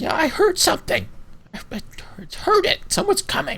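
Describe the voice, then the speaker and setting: Extremely high-pitched put-on character voice from a man, delivered at a moderate pace. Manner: bickering.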